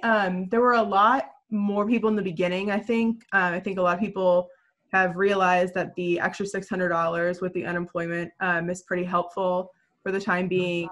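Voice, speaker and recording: Over a quiet background, a woman with a plain, everyday voice speaks at a moderate pace and medium pitch, with ordinary pitch variation. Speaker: newspaper reporter. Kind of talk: panel discussion. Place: home room.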